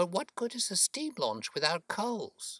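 A man's put-on character voice, high-pitched and fairly bright, with very wide pitch swings and a dry, close sound with no echo. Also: fairly slow pace.

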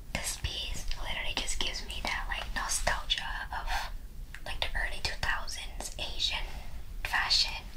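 Someone whispers at a fairly slow pace while noticeable background noise carries on. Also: woman. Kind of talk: ASMR thrift haul, casual talk to camera. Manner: whispered, soft-spoken.

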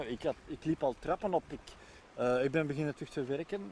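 A man talks at a moderate pace with a dark, mellow tone and ordinary pitch variation. The sound is dry with no echo, with light background noise. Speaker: lung transplant patient and association member. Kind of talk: interview testimony. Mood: calm, reflective, thankful. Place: waterside. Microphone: lapel.

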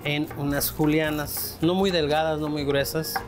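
A man delivers his words at a moderate speed while clear music runs behind him. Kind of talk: tutorial. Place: kitchen.

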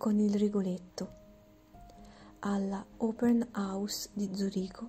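A woman's soft-spoken whisper at a very slow pace, with music in the background. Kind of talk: ASMR whispered reading of a biography. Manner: whispered, soft, slow, relaxing.

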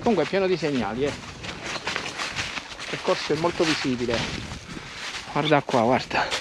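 A man's fairly slow speech, dry with no echo, competes with loud background noise. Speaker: hiker vlogger. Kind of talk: casual vlog chat. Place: forest. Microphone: phone near.

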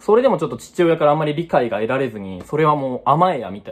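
The pace here is very fast. The speaker is a man. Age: 20s. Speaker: unemployed vlogger. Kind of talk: personal vlog monologue. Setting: at home. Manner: halting, many fillers. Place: home room. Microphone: phone near.

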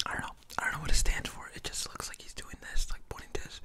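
A man whispers in a soft-spoken way at a moderate pace. Noticeable background noise can be heard. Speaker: mukbang-style storyteller. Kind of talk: casual vlog chat. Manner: soft close-mic ASMR whisper. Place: home room. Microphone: studio mic.

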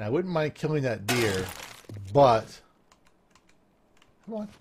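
The pace is fairly slow. Noticeable background noise can be heard. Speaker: gaming video creator. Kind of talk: let's play commentary. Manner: energetic.

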